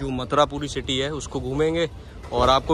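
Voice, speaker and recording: A man speaks in a monotone, flat intonation at a moderate pace, the sound dry with no echo and noticeable background noise behind him. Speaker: travel vlogger. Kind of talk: casual vlog chat. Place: train. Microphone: phone near.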